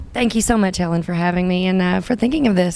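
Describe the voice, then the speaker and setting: With a Southern US accent, a woman is talking. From US South, Arkansas (Hot Springs). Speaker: singer-songwriter. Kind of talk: interview. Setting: music venue.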